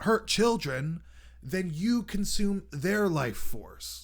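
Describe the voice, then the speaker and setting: The speaker goes at a very slow pace. The intonation is lively. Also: man. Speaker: radio show host. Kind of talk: monologue commentary.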